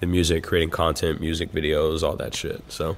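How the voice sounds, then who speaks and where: Moderate-paced speech from a man, on a very clean recording with a silent background. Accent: American. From Texas. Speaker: rapper. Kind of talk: casual interview chat. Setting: theater venue.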